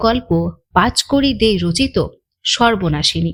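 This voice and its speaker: A woman's voice shows vocal fry and very wide pitch swings. The recording is very clean, with a silent background. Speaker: audio story narrator. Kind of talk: channel intro to listeners.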